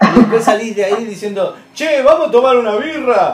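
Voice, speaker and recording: With music playing in the background, a man speaks using lively intonation. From Buenos Aires, Argentina. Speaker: voice actor and narrator. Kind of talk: interview.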